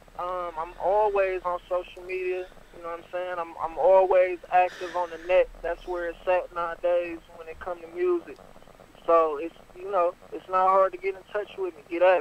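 Over noticeable background noise, a man with an American accent speaks at a moderate pace and a high pitch, his intonation monotone and flat while his loudness swings widely. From Detroit, Michigan. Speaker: rapper. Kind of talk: radio interview.

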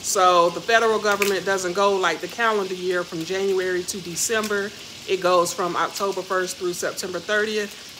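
A woman talks at a moderate pace with monotone, flat intonation. Noticeable background noise runs underneath. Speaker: vlogger. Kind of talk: casual vlog chat. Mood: cheerful, relaxed. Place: kitchen. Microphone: phone near.

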